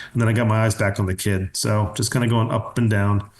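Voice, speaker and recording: In a Pennsylvania accent, a man talks at a fairly quick pace with monotone, flat intonation. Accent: US Mid-Atlantic (Pennsylvania). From Pennsylvania, US. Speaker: pediatric dentist. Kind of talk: webinar lecture. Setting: online webinar. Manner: fast; casual.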